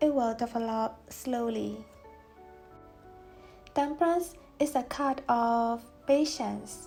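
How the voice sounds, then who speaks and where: A woman with a non-native accent speaks very slowly at a high pitch, with ordinary pitch variation. Music plays in the background. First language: not English. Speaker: tarot reader. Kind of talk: tarot reading talk to camera.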